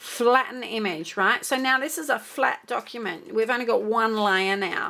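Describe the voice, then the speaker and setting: Lively intonation marks a plain, everyday voice delivered at a moderate pace. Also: woman, fairly high pitch for a woman. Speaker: crafter making a software tutorial. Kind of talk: tutorial.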